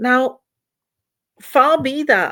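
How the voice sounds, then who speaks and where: A woman with a Flemish accent at a very slow pace. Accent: Flemish Dutch accent in English. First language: Dutch. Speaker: author. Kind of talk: fundraising appeal to camera.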